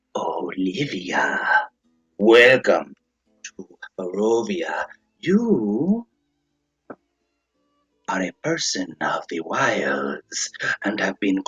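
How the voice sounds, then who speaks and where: In a put-on character voice with a sinister tone and low-to-middle pitch, the speaker cackles and talks at a very slow pace with long, frequent pauses. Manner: sinister, cackling.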